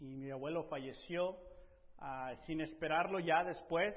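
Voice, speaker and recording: The man's voice sits fairly high and moves at a very slow pace. Audible room echo surrounds it. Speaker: preacher. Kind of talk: sermon.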